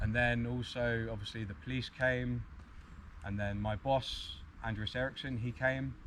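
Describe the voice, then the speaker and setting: A man with a British accent speaks at a moderate pace, and some room echo can be heard. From UK. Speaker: arborist. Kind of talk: conference talk.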